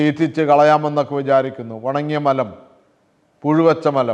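A man with a plain, everyday voice and fairly even intonation. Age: 60s. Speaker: lay preacher. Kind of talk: sermon.

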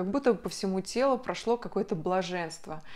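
A woman at a medium pitch with ordinary pitch variation, at a moderate pace against a quiet background. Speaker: video blogger. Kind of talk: personal story to camera. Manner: chatty. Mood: emotional personal birth story. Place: home room.

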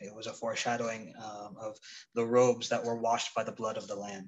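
Light background noise is present. Over it, a man talks. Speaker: church Bible study teacher. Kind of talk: sermon. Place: home room. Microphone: phone near.

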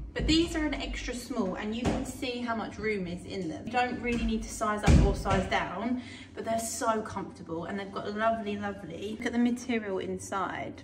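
Music plays in the background while a woman talks at a moderate pace. She has ordinary pitch variation and hardly any pauses. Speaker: fitness vlogger. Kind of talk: casual vlog chat. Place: kitchen. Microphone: phone near.

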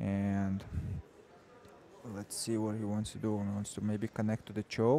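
Speaking at a moderate pace with a non-native accent, a man has a fairly low pitch and a dark, mellow tone, captured with a dry, close sound and no echo. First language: not English. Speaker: grappling commentator. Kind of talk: live commentary. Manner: halting, many fillers.

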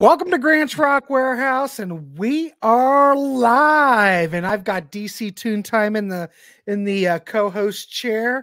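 A man with a bright, sharp tone talks at a very slow pace, his pitch swinging very widely. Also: quiet background. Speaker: podcast host. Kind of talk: casual live-stream chat. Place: home room. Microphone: studio mic.

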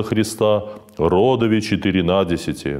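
Against a quiet background, a man speaks at a moderate pace in a fairly low pitch. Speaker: priest. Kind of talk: liturgical reading aloud. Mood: calm, solemn, even. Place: church.

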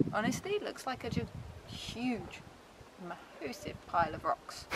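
Pitch swings very widely as the speaker goes at a fairly slow pace, with noticeable background noise behind. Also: woman. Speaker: travel vlogger. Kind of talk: casual vlog commentary. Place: open country. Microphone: phone near.

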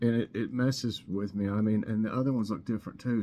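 At a fairly quick pace, a man speaks in a dark, mellow tone. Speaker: home vlogger. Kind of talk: casual vlog chat. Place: kitchen. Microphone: webcam.

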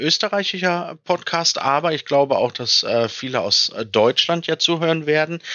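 Here a man with a fairly high pitch and an ordinary speaking voice talks at a fairly slow pace, his intonation lively. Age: 30s. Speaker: tabletop role-playing game designer and game master. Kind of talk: podcast interview.

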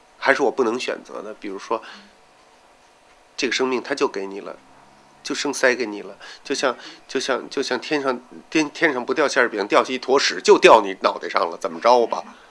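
A man talks at a fairly quick pace with big swings in loudness, long and frequent pauses, and ordinary pitch variation. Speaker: tailor and drag queen performer. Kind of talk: documentary interview answer. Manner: candid, hesitant, colloquial. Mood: reflective, bitter about childhood. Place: home room.

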